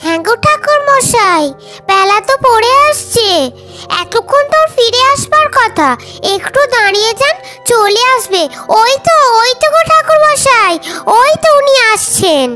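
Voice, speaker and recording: Over clear background music, a woman does a cartoonish character voice at an extremely high pitch and a moderate pace. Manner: fast, exclamatory.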